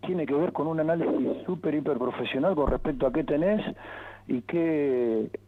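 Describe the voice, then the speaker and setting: Speaking at a moderate pace, a man with a fairly high pitch and ordinary pitch variation is heard over noticeable background noise. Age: 60s. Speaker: football coach and former player. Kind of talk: interview.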